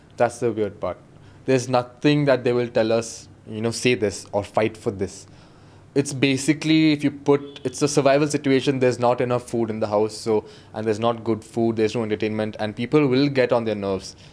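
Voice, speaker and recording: A man at medium pitch, with fairly even intonation and a fairly quick pace. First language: Kodava (Coorgi). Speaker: reality show contestant, dancer and model. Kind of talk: podcast interview.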